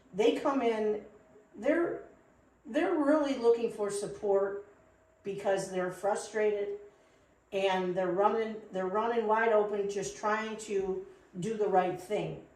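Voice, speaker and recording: Very slowly and with long, frequent pauses, a woman speaks at a fairly high pitch with ordinary variation, her voice carrying audible room echo. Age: 60s. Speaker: CBD shop co-founder. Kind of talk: podcast interview.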